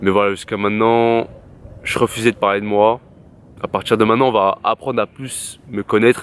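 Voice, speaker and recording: A man speaks at a medium pitch and a moderate pace. The sound is dry with no echo. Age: 20s. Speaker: YouTuber. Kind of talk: personal vlog monologue. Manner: casual slangy. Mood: reflective, candid. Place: garden. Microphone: phone near.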